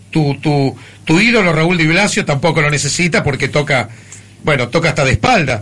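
Over noticeable background noise, a man talks at a moderate pace with a fairly high pitch and lively intonation. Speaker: radio host. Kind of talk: radio show, warm interview. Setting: radio studio.

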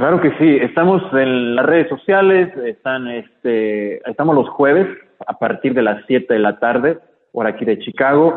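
This man has an ordinary speaking voice with a fairly high pitch. He talks at a fairly slow pace with lively intonation. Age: 30s. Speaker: motivational speaker and case worker. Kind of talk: radio interview.

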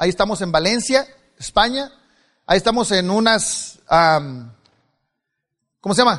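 This man has a high-pitched voice. His tone is animated and his intonation lively. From Mexico, Culiacán, Sinaloa. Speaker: motivational speaker. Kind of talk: motivational speech. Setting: stage with audience.

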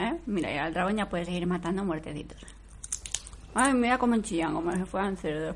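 A woman's animated, fairly quick voice, fairly low in pitch, with noticeable background noise. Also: ordinary pitch variation. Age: 40s. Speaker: TV series commentator. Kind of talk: live commentary.

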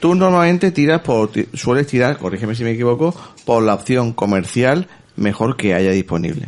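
A man talks at a medium pitch. His voice makes very wide pitch swings. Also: moderate pace. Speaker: podcast host. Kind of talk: casual chat.

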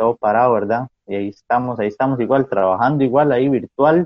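A man's plain, everyday voice, medium in pitch, at a moderate pace with ordinary pitch variation. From Costa Rica, San Carlos. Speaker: pastor. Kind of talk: casual chat. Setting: video call.

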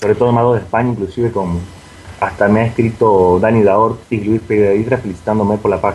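At a fairly quick pace, a man talks in a plain, everyday voice, pitched fairly low with fairly even intonation. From Argentina. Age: 20s. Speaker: magic website founder. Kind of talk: interview.

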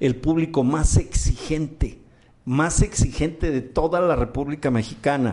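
A man with an ordinary speaking voice, fairly even intonation, and a fairly slow pace. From Mexico. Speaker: podcast host and comedian-entertainer. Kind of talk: casual talk show chat. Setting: studio.

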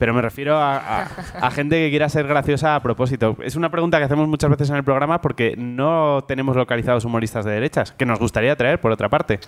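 A man talks at a very fast pace with hardly any pauses, his pitch fairly high. Background noise is noticeable. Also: ordinary pitch variation, dry, close sound with no echo. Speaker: comedy quiz show host. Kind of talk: comedic quiz hosting before live audience. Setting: university venue with live audience.

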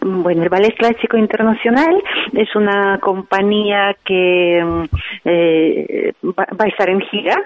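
A woman with a medium pitch speaks at a very slow pace. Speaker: ballet tour organizer. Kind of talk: radio interview. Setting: dance school, recorded live for radio. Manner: halting.

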